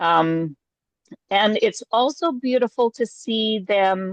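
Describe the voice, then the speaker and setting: A woman speaks very slowly with lively intonation. The sound is dry and close, with no echo. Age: 60s. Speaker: artist and workshop leader. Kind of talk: interview. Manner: halting.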